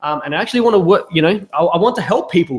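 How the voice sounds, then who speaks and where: A man's high-pitched voice with an Australian accent. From South Australia. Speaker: business consultant. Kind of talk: webinar sales pitch. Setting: live webinar. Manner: hesitant, many fillers.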